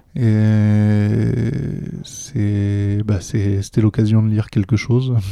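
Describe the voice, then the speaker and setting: A man's fairly low voice at a very slow pace, fairly even in intonation, with noticeable background noise. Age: 40s. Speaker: gaming association volunteer. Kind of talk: casual interview chat. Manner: hesitant, repeats words.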